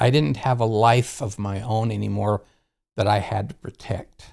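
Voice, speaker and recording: Somewhat breathy delivery at a moderate pace, with ordinary pitch variation. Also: man. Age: 70s. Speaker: retired counselor sharing conversion story. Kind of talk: personal testimony. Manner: halting, with frequent fillers.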